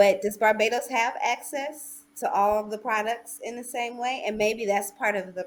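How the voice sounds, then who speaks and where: A woman with an American accent speaks in an ordinary speaking voice, fairly high in pitch. She goes at a fairly slow pace with big swings in loudness. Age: 40s. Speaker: doctoral student, panellist. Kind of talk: panel discussion.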